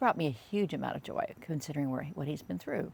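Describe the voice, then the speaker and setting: In a very clean recording with a silent background, a woman speaks at a very deep, low pitch. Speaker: vlogger. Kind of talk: casual reflective monologue. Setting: outdoors on patio. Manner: halting, many fillers.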